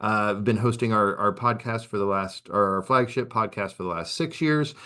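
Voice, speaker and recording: Against a quiet background, a man with an American accent has a fairly low pitch and a bright, sharp tone. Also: ordinary pitch variation. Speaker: assistive technology presenter. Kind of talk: webinar presentation. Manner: fast.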